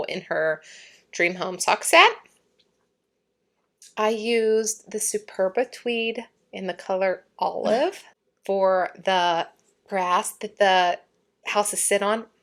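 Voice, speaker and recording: A woman puts on a raspy character voice, recorded very cleanly against a silent background. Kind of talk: explaining a craft project, chatty. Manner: talking slowly.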